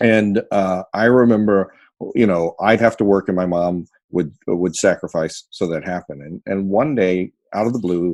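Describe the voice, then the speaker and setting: With an American accent, a man speaks in a normal speaking voice at a fairly low pitch and a moderate pace, using ordinary pitch variation. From United States. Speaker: storyteller. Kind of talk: interview answer.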